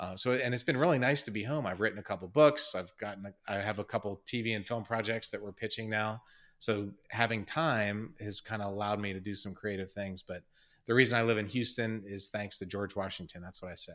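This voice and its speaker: A normal speaking voice with an American accent, a fairly quick pace and ordinary pitch variation, in a very clean recording over a silent background. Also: man, fairly low pitch for a man. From Maryland. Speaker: astronaut. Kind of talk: casual interview.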